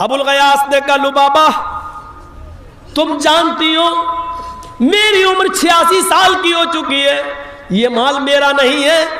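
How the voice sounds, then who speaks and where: A man speaks in a raised, projected voice with ordinary pitch variation, with audible room echo and noticeable background noise. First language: not Bengali (speaks Hindi/Urdu) (speaking Hindi). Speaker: Islamic preacher. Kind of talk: religious sermon with storytelling.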